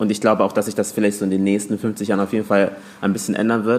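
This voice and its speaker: A man rattles off words very fast, his fairly low voice held in a monotone, flat intonation. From Hamburg, Germany. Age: 20s. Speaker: teacher and social media creator. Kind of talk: casual chat.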